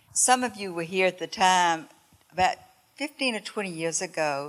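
Against a quiet background, the speaker talks with a Southern US accent. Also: woman. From North Carolina. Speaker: church member. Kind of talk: testimony. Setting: church.

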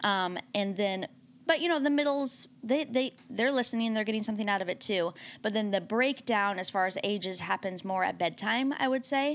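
With a plain, everyday voice, a woman speaks at a moderate pace in a fairly high pitch, her intonation lively. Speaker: pastor's wife and panelist. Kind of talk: casual chat.

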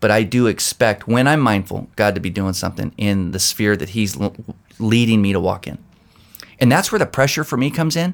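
A man with an ordinary speaking voice, fairly low pitch, lively intonation and a fairly quick pace. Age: 50s. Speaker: pastor. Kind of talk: casual chat. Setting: office.

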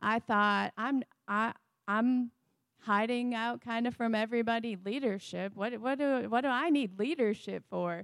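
A woman with an American accent speaks at a fairly high pitch with ordinary pitch variation, recorded very cleanly against a silent background with a dry, close sound and no echo. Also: moderate pace. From Wisconsin. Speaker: forensic DNA scientist, pastor's wife. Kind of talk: sermon testimony. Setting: church with congregation.

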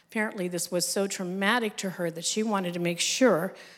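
With an ordinary speaking voice and an American accent, a woman speaks at a fairly quick pace, with a medium pitch and ordinary pitch variation. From United States. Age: 60s. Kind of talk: testimony. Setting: stage with audience.

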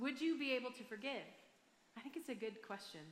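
A woman speaks in a raised, projected voice with a bright, sharp tone and an American accent. Her pitch is high, with ordinary pitch variation. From Michigan, US. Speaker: pastor. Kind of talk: sermon. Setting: church stage with audience.

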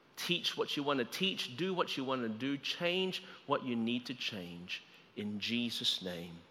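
Bright and sharp in tone, a man with an Australian accent speaks with very wide pitch swings. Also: medium pitch for a man, fairly slow pace. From Australia, Melbourne. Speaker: guest preacher. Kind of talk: sermon. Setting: church service, livestreamed.

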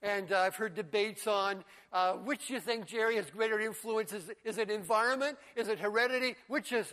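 Raised and projected, a man's bright, sharp voice sits at a high pitch with ordinary pitch variation, moving at a fairly quick pace with hardly any pauses. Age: 70s. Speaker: pastor. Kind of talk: sermon. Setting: church with congregation.

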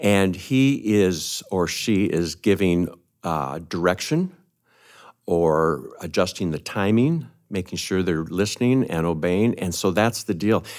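On a very clean recording with a silent background, a man with a very deep, low pitch speaks at a very slow pace with ordinary pitch variation. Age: 60s. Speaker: retiring church minister. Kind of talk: conversational interview. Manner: hesitant, many fillers.

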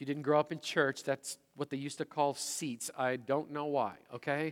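This unremarkable speaking voice moves at a moderate pace with fairly even intonation, in a dry, close sound with no echo on a very clean recording with a silent background. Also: man. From Manitoba, Canadian prairies. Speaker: pastor. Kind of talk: sermon. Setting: church service with congregation.

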